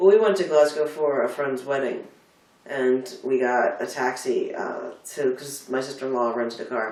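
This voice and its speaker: Noticeable background noise and audible room echo surround a man talking at a moderate pace. His pitch is fairly high, with ordinary pitch variation. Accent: Philadelphia. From US, Delaware County, Pennsylvania. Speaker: bookstore worker. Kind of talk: casual chat. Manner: animated.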